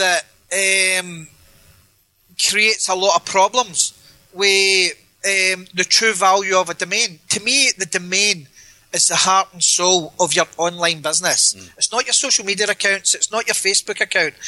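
In a Glaswegian accent, a man projects a raised voice that is high-pitched, bright and sharp in tone, with fairly even intonation and a dry, close sound with no echo. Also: moderate pace. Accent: Glaswegian Scottish. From Scotland, Glasgow. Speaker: domain name investor. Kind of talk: interview. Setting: Skype call.

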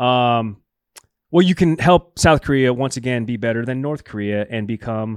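Captured on a very clean recording with a silent background, a man with a normal speaking voice speaks at a fairly slow pace and medium pitch with ordinary pitch variation. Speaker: sports show co-host. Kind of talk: casual banter.

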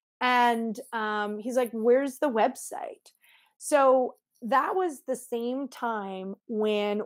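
A woman speaks in an unremarkable speaking voice, fairly high in pitch with ordinary pitch variation. The recording is very clean, with a silent background. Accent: Canadian. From Canada, Montreal. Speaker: lawyer and legal tech entrepreneur. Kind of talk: interview.

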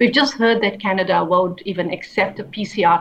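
A woman speaks at a moderate pace with a South African accent. Her medium-pitched voice shows ordinary pitch variation. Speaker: human rights lawyer and activist. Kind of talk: interview.

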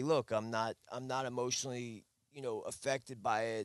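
Against a quiet background, a man with a plain, everyday voice speaks at a moderate pace in a medium pitch, his intonation fairly even and the sound dry and close with no echo. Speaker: fisherman. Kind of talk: casual chat.

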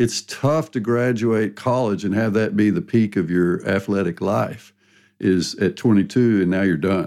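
With an ordinary speaking voice, a man speaks at a fairly low pitch with ordinary pitch variation and very even loudness on a very clean recording with a silent background. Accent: American. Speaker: sports science professor, guest host. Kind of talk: casual chat.

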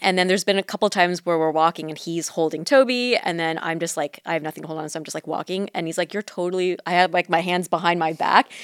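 Speaking very fast with a Southern California accent, the woman hardly pauses at all. Her pitch is fairly low, and the sound is dry and close, with no echo. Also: ordinary pitch variation. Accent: general American, Southern California. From Orange County, California. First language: Mandarin. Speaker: podcast co-host. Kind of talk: casual chat.

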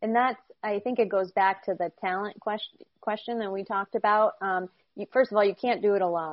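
In an American accent and a normal speaking voice, a woman talks at a fairly quick pace with a medium pitch and fairly even intonation. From upstate New York. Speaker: sports sales executive. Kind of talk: interview.

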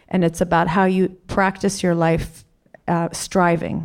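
Using a fairly low pitch, a woman speaks at a fairly slow pace with vocal fry and monotone, flat intonation. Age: 40s. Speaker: documentary filmmaker. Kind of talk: panel discussion Q&A.

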